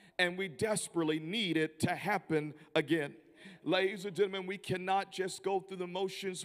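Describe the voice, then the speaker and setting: A man's high-pitched, monotone, flat voice at a moderate pace, with a Southern US accent. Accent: Southern American. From US South, Memphis, Tennessee. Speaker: visiting preacher. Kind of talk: sermon. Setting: church.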